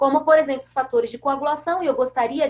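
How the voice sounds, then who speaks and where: A woman speaks in a high pitch. Her tone is animated. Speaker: veterinary pathology professor. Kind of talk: webinar lecture.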